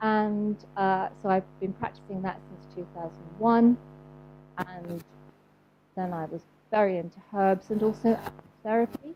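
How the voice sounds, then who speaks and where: The voice has a southern English accent and a dark, mellow tone, with big swings in loudness. It moves at a fairly slow pace with long, frequent pauses. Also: woman, medium pitch for a woman. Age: 60s. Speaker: homeopath and animal therapist. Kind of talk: talk to a live audience. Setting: event with audience. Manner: hesitant, many fillers.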